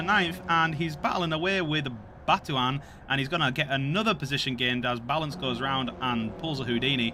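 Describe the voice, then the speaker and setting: With music in the background, a man with a Yorkshire accent speaks at a fairly high pitch. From Yorkshire, northern England. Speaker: sim racing commentator. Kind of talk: live commentary. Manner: animated.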